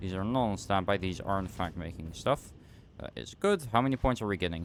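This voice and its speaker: A man with a Dutch accent, fairly low pitch, ordinary pitch variation and a fairly quick pace. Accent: Dutch accent, noticeable today. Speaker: game streamer. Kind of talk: casual live-stream commentary while gaming.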